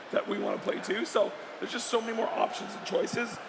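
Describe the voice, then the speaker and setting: A man speaks at a fairly quick pace. Audible room echo and noticeable background noise come through. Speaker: video game industry executive. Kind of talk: panel discussion. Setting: stage at a live event.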